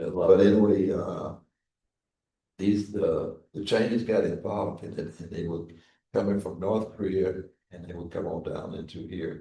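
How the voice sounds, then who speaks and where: A man's somewhat breathy voice with a dark, mellow tone, fairly even intonation, long, frequent pauses, big swings in loudness and audible room echo. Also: fairly low pitch for a man, moderate pace. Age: 90s. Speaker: Korean War veteran, former chaplain. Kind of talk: interview, war recollections. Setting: veterans memorial building, live broadcast. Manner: halting, repetitive.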